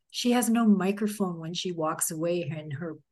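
Against a quiet background, a woman with a Canadian accent talks at a fairly slow pace with ordinary pitch variation in a plain, everyday voice. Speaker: podcast host and journalist. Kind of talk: interview. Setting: video call.

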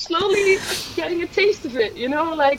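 A woman talks at a fairly quick pace, with noticeable background noise behind her. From Netherlands. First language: Dutch. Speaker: hiker. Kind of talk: interview. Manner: hesitant, many fillers.

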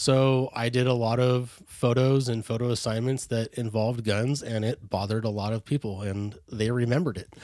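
A man with an American accent and an ordinary speaking voice, medium pitch, fairly even intonation, moderate pace and hardly any pauses. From California, Bay Area. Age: 30s. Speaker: hunter safety educator. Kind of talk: casual interview.

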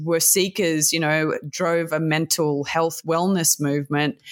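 This woman has a fairly low voice and an Australian accent. The recording is very clean, with a silent background. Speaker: sex tech entrepreneur and podcaster. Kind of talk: interview.

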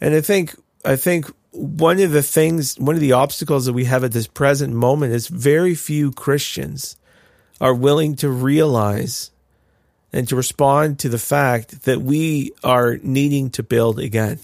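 A man with an ordinary speaking voice and a Canadian accent talks at a fairly slow pace in a fairly high pitch with ordinary pitch variation, on a very clean recording with a silent background. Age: 30s. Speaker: pastor and podcast co-host. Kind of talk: casual chat.

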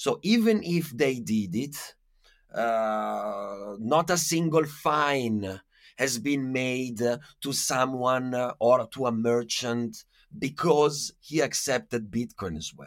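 A man with an Italian accent and medium pitch speaks at a very slow pace, with lively intonation and big swings in loudness. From Italy. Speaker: activist and podcaster. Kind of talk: casual interview. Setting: remote call.

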